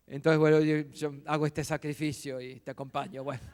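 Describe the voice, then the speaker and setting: With a dry, close sound and no echo, a man talks in a fairly high pitch and a monotone, flat intonation. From Argentina, Buenos Aires. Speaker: visiting pastor. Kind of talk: sermon. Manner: serious.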